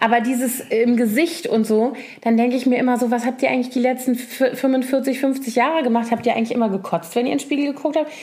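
A high-pitched woman at a very fast pace, with fairly even intonation, very even loudness, and noticeable background noise. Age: 40s. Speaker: podcast co-host. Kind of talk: casual chat.

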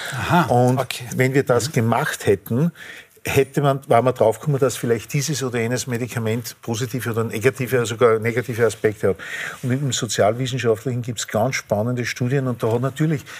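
A man's medium-pitched voice moves along fairly quickly with noticeable background noise behind it. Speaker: physicist. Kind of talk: panel discussion.

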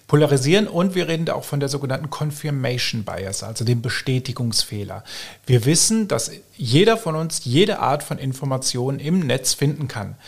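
With a fairly high pitch and lively intonation, a man has an unremarkable speaking voice. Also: moderate pace. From Germany. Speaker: fact-checker, press spokesman. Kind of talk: podcast interview.

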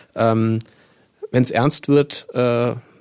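A man speaks at a medium pitch. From Rhineland-Palatinate, Koblenz area. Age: 40s. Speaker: local newspaper editor. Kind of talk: casual interview chat.

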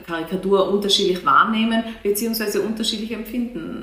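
A woman with an Austrian accent and fairly even intonation, amid noticeable background noise and audible room echo. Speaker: museum director. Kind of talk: interview. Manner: hesitant, with many fillers and repetitions.

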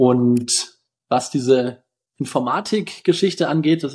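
In a normal speaking voice, a man talks at a medium pitch that varies in an ordinary way. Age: 20s. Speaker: physician and health-tech founder. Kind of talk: interview.

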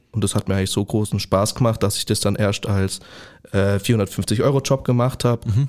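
A man speaks in a plain, everyday voice, fairly low in pitch, at a moderate pace. Intonation is fairly even, and the recording is very clean with a silent background. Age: 20s. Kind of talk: podcast interview.

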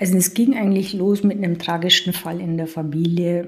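A somewhat breathy woman's voice of medium pitch, with monotone, flat intonation. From Lower Bavaria, Germany. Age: 40s. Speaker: health podcast co-host, accountant. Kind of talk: casual chat.

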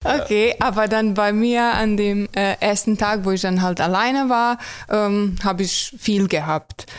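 A woman's medium-pitched voice with a Croatian accent, at very even loudness, fairly even intonation and a fairly slow pace. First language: Croatian (speaking German). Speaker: tram driver. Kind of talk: casual interview. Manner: hesitant with many fillers.

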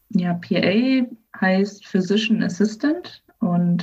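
A woman's somewhat breathy voice at medium pitch. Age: 20s. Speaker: physician assistant. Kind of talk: interview. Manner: hesitant, many fillers.

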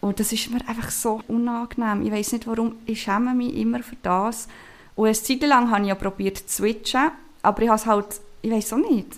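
The woman has a fairly high pitch and fairly even intonation, using an ordinary speaking voice at a fairly quick pace. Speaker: podcast host. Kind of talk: casual chat.

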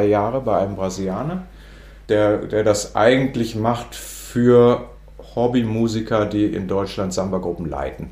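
At a fairly slow pace, a dark, mellow tone with ordinary pitch variation comes through amid audible room echo. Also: man. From northern Germany. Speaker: music education professor. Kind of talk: interview. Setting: office. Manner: halting.

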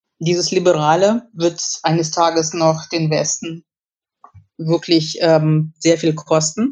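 A woman's fairly low-pitched voice, very slow in pace, with ordinary pitch variation. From Kyrgyzstan (Russian-German family). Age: 50s. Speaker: journalist and historian. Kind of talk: interview.

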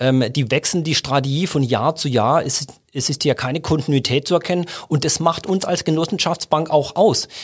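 A somewhat breathy man at fairly high pitch with ordinary pitch variation, in a very clean recording with a silent background. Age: 50s. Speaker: bank chief executive. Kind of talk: casual interview. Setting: studio.

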